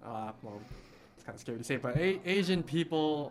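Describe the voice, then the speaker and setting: A man's fairly high voice, fairly quick in pace, with lively intonation. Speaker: guest. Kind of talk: interview.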